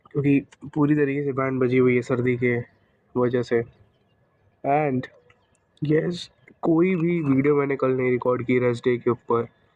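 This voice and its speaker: Quiet and very even in loudness, a man at medium pitch uses fairly even intonation and leaves long, frequent pauses. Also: fairly slow pace. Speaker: fitness vlogger. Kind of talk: vlog.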